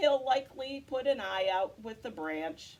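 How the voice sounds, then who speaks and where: A woman puts on a whiny character voice, high-pitched with very wide pitch swings. She speaks at a moderate pace. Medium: read story. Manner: whiny, scolding.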